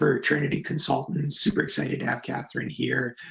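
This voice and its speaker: A man with a fairly high pitch and ordinary pitch variation is heard over noticeable background noise. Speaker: webinar host, software company co-founder. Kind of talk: webinar.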